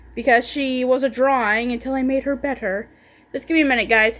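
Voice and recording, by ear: In a bright, sharp tone, a woman speaks at a high pitch.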